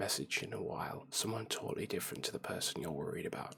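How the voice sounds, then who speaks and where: Whispering in a gentle tone. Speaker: ASMR creator. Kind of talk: soft-spoken ASMR ramble to camera; casual personal talk to camera. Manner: soft-spoken, gentle.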